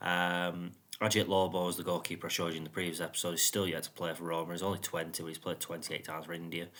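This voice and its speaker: A man with a British accent talks at a very fast pace with hardly any pauses, his voice very deep and low in pitch yet bright and sharp in tone. His intonation stays monotone and flat. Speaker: gaming youtuber. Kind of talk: gameplay commentary.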